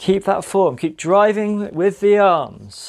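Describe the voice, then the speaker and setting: Upbeat tone at a very slow pace on a very clean recording with a silent background. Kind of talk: guided running workout coaching. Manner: upbeat, encouraging, motivational; steady, clear, paced cues.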